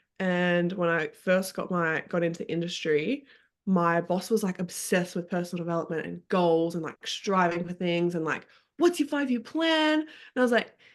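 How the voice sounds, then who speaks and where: The background is quiet as a woman talks at a moderate pace. Her pitch is fairly low, with ordinary pitch variation. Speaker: podcast guest. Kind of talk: casual chat.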